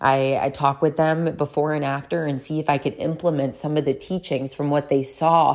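In a very clean recording with a silent background, a woman with a very deep, low pitch talks at a moderate pace in a monotone, flat intonation. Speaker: podcast host and wellness coach. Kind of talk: casual solo monologue. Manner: rambling, informal.

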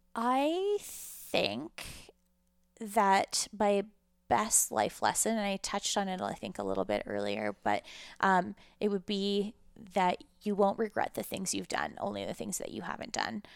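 A woman with a Canadian accent speaks at a fairly slow pace on a very clean recording with a silent background. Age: 30s. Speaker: cannabis entrepreneur. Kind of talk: interview conversation.

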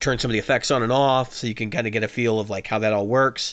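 At a fairly quick pace, a man speaks in a medium pitch with fairly even intonation and a normal speaking voice. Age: 30s. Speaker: guitar podcast co-host. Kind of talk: casual chat. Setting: video call.

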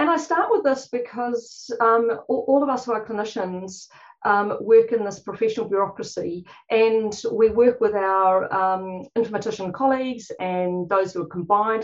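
A woman speaks with a New Zealand accent. Her pitch is fairly high, with ordinary variation. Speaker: clinician, conference panel speaker.

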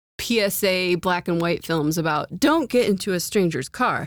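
Recorded very cleanly with a silent background, a woman speaks in a plain, everyday voice at a medium pitch with lively intonation. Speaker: podcast host. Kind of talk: casual chat about TV shows.

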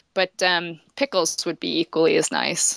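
With an American accent, a woman speaks at a moderate pace and medium pitch, her bright, sharp tone carrying vocal fry in a dry, close sound with no echo on a very clean recording with a silent background. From western Michigan, US Midwest. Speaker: author and forager. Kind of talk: casual interview conversation.

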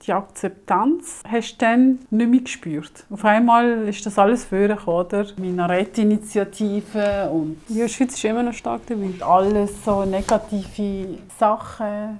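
Hardly pausing, a woman talks at a very slow pace. Her pitch is medium, with ordinary pitch variation. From Switzerland (arrived age five). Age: 50s. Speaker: mother telling her life story. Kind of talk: casual family conversation.

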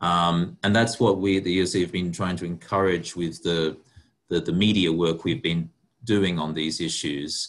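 Delivered at a moderate tempo, the intonation stays fairly even. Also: man, very deep, low pitch for a man. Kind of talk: webinar panel talk.

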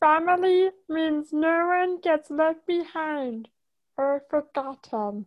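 A woman uses a put-on character voice at an extremely high pitch. She speaks at a very slow pace over a quiet background.

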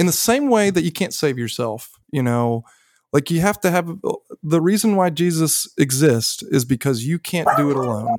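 In a very clean recording with a silent background, a man with a high pitch speaks at a moderate pace, his voice making very wide pitch swings. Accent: Southern US. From US South. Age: 30s. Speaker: son of a recovery community member. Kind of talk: podcast interview, personal story. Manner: animated.

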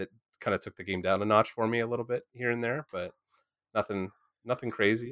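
A man with an unremarkable speaking voice and a medium pitch talks at a fairly quick pace in a dry, close sound with no echo, on a very clean recording with a silent background. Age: 30s. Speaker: podcast host. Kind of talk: casual chat.

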